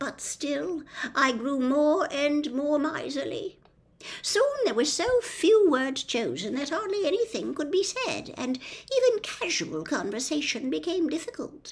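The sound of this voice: A woman's put-on character voice, high-pitched with big pitch swings, at a fairly slow pace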